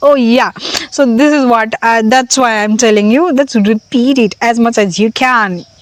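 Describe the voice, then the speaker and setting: A woman with an Indian accent speaks at a moderate pace and a fairly high pitch. Her loudness stays very even, and the sound is dry and close, with no echo. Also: ordinary pitch variation. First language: Hindi. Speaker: language learning vlogger. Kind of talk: casual vlog monologue. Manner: halting, many fillers.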